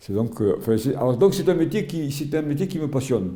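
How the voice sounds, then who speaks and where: Speaking with lively intonation, a man has a dark, mellow tone and vocal fry. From Algeria (Oran), pied-noir. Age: 80s+. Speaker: retired sports journalist and volunteer. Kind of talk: interview testimony. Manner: halting, many repetitions and hesitations.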